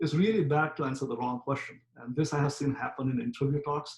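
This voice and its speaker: The voice sounds somewhat breathy, with ordinary pitch variation. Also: man. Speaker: professor. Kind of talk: lecture. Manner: fast; frequent filler words.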